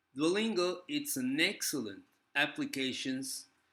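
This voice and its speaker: At a fairly slow pace, a man talks in a bright, sharp tone with ordinary pitch variation. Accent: Spanish. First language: Spanish. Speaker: language teacher and vlogger. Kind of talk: casual video review. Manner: halting, with frequent fillers.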